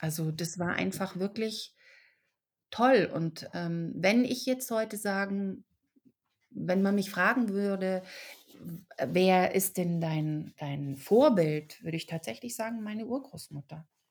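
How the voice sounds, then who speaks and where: A woman's medium-pitched, lively voice at a very slow pace with long, frequent pauses, on a very clean recording with a silent background. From Germany, raised in Czech family. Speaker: actress and author. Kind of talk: podcast interview. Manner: hesitant with fillers.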